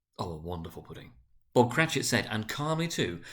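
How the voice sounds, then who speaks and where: The man's voice is medium in pitch and somewhat breathy. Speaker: senior school director reading aloud. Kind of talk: dramatic reading of a classic novel. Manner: narrating, measured storyteller delivery.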